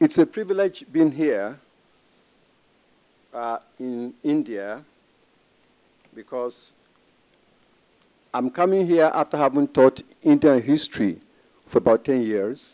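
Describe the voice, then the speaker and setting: Very slow and marked by long, frequent pauses, a man with an African accent speaks in a dark, mellow tone at a fairly high pitch, with lively intonation. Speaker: history professor. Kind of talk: conference presentation. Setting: conference panel with audience.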